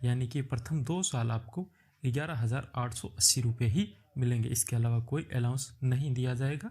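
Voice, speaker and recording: A man's dark, mellow, somewhat breathy voice at a medium pitch. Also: ordinary pitch variation. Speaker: YouTube job-prep tutor. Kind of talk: tutorial.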